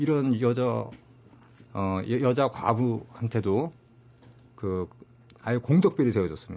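A man takes a very slow pace, his pitch swinging very widely. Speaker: author and publisher, former magazine journalist. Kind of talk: interview about history book.

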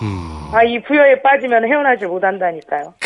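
This man's voice sits at an extremely high pitch. The intonation rises and falls in a lively way. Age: 50s. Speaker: chestnut farmer. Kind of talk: phone interview. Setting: phone call.

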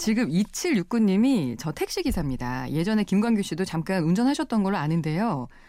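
The woman's voice has a dark, mellow tone. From South Korea, Busan. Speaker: radio host. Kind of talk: radio interview, casual chat. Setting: radio studio. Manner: lively.

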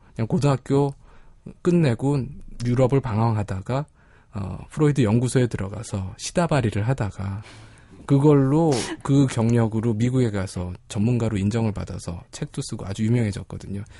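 A man speaks at a medium pitch and a moderate pace, with ordinary pitch variation. His tone is dark and mellow, somewhat breathy, over a quiet background. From Korea, not Gyeongsang. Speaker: psychologist. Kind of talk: casual chat. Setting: studio.

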